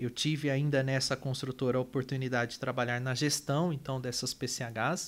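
On a very clean recording with a silent background, a man with a medium pitch speaks in a monotone, flat intonation. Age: 30s. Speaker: energy company manager and engineer. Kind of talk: interview.

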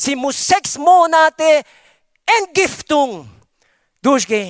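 Animated and bright, a man with a strong non-native accent speaks at an extremely high pitch with lively intonation and a sharp tone, the sound dry and close with no echo. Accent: strong foreign accent in German. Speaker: pastor. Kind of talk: sermon. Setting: church with congregation. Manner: animated, preacherly, with call-and-response 'Amen' and emphatic exclamations.

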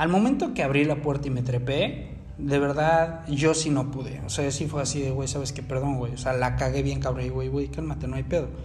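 A man speaking at a moderate pace with hardly any pauses, amid noticeable background noise and audible room echo. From Mexico City. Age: 20s. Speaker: phone repair technician and podcaster. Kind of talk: casual monologue. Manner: hesitant with many repetitions.

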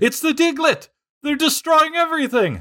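Using a put-on character voice, a man speaks at a moderate pace. His pitch is extremely high. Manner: frantic, screaming.

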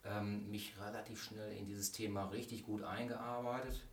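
Noticeable background noise sits behind a man speaking at a moderate pace with a fairly low pitch. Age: 40s. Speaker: vocational school teacher. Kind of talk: casual interview.

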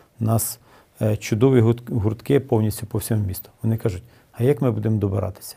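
A man's somewhat breathy, dark, mellow voice at a moderate pace, with fairly even intonation. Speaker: city mayor. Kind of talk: interview. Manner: hesitant with filler sounds.

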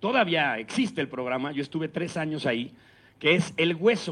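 A man with a Mexican accent and a fairly high pitch speaks at a moderate pace over a quiet background. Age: 40s. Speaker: radio announcer and impressionist. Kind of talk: talk to students. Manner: conversational with many fillers.

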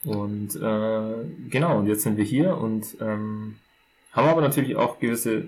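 A man in a normal speaking voice, fairly low in pitch, with ordinary pitch variation. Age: 20s. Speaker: podcast co-host. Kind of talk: casual chat.

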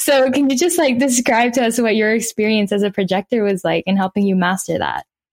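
A normal speaking voice at a fairly quick pace, with hardly any pauses, ordinary pitch variation and very even loudness. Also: woman, fairly high pitch for a woman. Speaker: podcast host. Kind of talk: casual interview.

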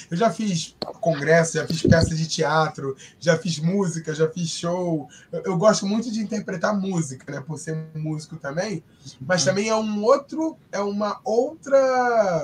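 With noticeable background noise behind him, a man with a high pitch speaks fairly slowly and with lively intonation. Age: 30s. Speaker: sign language interpreter. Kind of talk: casual chat.

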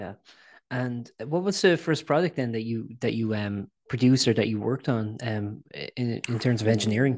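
With an Irish accent, a man talks at medium pitch and a moderate pace, his pitch varying in an ordinary way. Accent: Irish, noticeable. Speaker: podcast host and website editor. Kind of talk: interview. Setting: video call. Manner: halting, many fillers.

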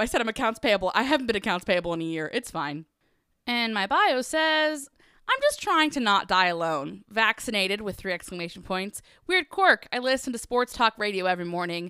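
A woman's bright, sharp, animated voice with very wide pitch swings at a fairly quick pace, dry and close with no echo, on a very clean recording over a silent background. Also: fairly high pitch for a woman. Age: 20s. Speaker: podcast host. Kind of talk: casual solo chat. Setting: home garage studio. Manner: animated, laughing often.

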